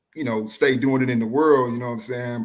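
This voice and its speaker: With an American accent, the man talks at a medium pitch and a moderate speed. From Houston, Texas. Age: 30s. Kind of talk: casual interview.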